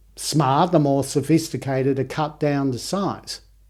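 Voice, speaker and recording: In a very clean recording with a silent background, a man speaks at a moderate pace with a fairly high pitch. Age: 60s. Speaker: homeopath and author. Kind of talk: casual chat. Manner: halting.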